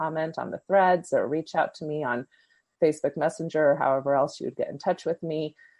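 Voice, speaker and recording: Fairly quick delivery in a normal speaking voice, ordinary pitch variation throughout. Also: woman. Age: 50s. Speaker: podcast host and therapist. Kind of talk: podcast interview.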